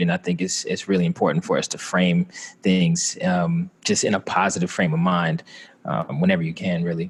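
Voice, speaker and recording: The speaker has a slight Southern US accent. The intonation is monotone and flat. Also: man. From Atlanta, Georgia, US South. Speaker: Air Force veteran. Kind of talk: interview. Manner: halting, many fillers.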